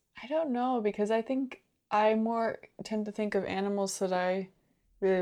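This is a normal speaking voice from a woman at medium pitch with ordinary pitch variation. She keeps a moderate pace against a quiet background. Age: 20s. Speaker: co-host. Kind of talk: casual chat.

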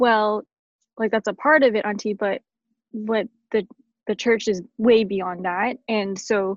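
In a Canadian accent, a woman with an unremarkable speaking voice talks at a fairly high pitch and moderate pace with fairly even intonation, in a dry, close sound with no echo. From Canada. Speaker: blogger and churchgoer. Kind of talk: casual chat.

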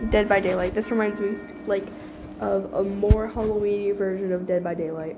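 Music plays in the background as a woman speaks at a moderate pace. Her medium-pitched voice is monotone and flat. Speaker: podcast host and gamer. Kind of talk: casual solo podcast with gameplay commentary. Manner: casual, apologetic, filler words.

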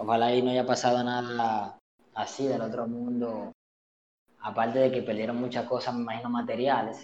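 In a Dominican accent, a man talks at a moderate pace with a medium pitch. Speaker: podcast co-host. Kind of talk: casual chat.

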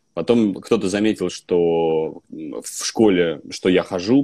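A man's dark, mellow voice with lively intonation, in a dry, close sound with no echo. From Russia, Vologda. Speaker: actor. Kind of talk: casual chat. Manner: animated.

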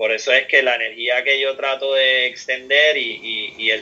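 A man speaks with a Puerto Rican accent. His pitch is medium and his pace moderate. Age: 40s. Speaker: professional surfer. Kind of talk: interview.

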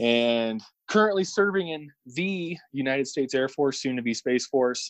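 With an American accent and an ordinary speaking voice, a man at a fairly high pitch talks at a moderate pace, using lively intonation and big swings in loudness. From Illinois, St. Louis area. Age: 30s. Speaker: air force service member. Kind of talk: casual chat.

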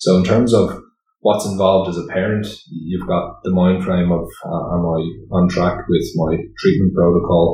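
A man with a very deep, low pitch and a dark, mellow tone speaks at a moderate pace, somewhat breathy and with fairly even intonation. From Ireland, Greystones, Co. Wicklow. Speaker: charity board member and father. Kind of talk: casual interview. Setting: studio.

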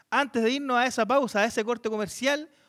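Animated in tone, a man talks at a fairly quick pace with ordinary pitch variation. The recording is very clean, the background silent. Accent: Chilean. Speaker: podcast host and moderator. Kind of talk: live panel discussion with audience.

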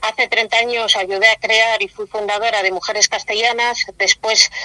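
A woman speaks with a fairly high pitch and fairly even intonation. The sound is dry and close with no echo, though background noise is noticeable. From Spain, Valladolid. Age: 50s. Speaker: feminist activist. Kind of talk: interview.

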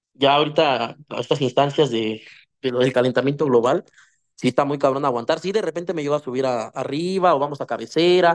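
A man with a plain, everyday voice speaks at a fairly quick pace and fairly high pitch, with ordinary pitch variation and a dry, close sound with no echo. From Mexico, Ecatepec (State of Mexico). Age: 20s. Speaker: musician. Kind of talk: casual chat.

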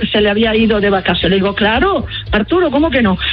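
Music plays in the background as a woman speaks. Her pace is fairly quick and her intonation lively. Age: 70s. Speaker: singer. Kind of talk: radio interview.

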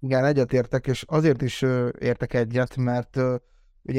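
The sound is dry and close with no echo as a man speaks at a medium pitch and a fairly quick pace against a quiet background. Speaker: vlogger and football fan. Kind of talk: casual chat.

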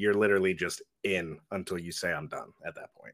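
An ordinary speaking voice, a man at a fairly low pitch and fairly quick pace, on a very clean recording with a silent background. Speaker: co-host of a horror movie podcast. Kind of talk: casual podcast interview.

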